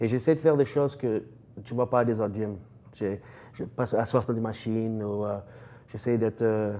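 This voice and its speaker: A man speaks in a dark, mellow tone at a moderate pace. He leaves long, frequent pauses. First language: English (speaking French). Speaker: strength coach, gym owner. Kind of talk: TV interview. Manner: halting, many hesitations.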